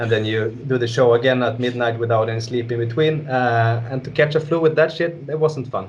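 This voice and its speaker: With a Swedish accent, a man at medium pitch speaks somewhat breathily at a fairly quick pace, with ordinary pitch variation and hardly any pauses. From northern Sweden. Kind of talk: interview. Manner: casual.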